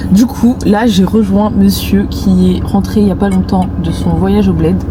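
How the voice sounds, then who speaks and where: In a room with audible echo and noticeable background noise, a woman speaks fairly slowly at a very even loudness. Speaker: vlogger. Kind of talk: vlog narration. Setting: shopping mall, in public. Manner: casual, chatty; whispering.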